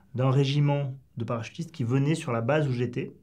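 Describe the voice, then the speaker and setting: The background is quiet. A man talks at a medium pitch in a dark, mellow, somewhat breathy tone. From southwest France. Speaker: former special forces soldier. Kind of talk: interview. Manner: halting. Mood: calm, reflective storytelling. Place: studio.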